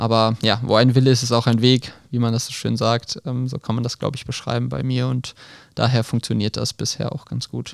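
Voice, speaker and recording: A man with an unremarkable speaking voice talks at a fairly quick pace and medium pitch. His intonation is fairly even, on a very clean recording with a silent background. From western Germany, Krefeld. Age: 20s. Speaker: field hockey player and medical student. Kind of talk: podcast interview. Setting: studio.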